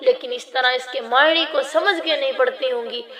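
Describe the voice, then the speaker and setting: Fairly slow and high-pitched, a woman talks with fairly even intonation over noticeable background noise. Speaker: religious teacher. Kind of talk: lecture.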